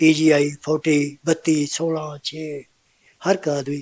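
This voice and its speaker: In a Punjabi accent, a man speaks at a fairly high pitch in a flat monotone, the sound dry and close with no echo. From Punjab, India (Patiala district). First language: Punjabi (speaking Hindi). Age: 70s. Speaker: old age home resident, social worker. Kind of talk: interview.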